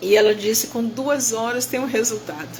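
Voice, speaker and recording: The speech moves at a moderate pace with ordinary pitch variation, and noticeable background noise sits underneath. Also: woman. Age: 70s. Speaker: bible teacher. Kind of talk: testimony. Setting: hospital room. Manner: emotional.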